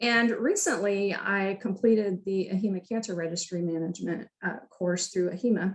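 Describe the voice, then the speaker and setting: Speaking with fairly even intonation, a woman has a somewhat breathy voice at a medium pitch. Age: 60s. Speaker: health information management program director. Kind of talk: career talk presentation. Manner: hesitant, many fillers.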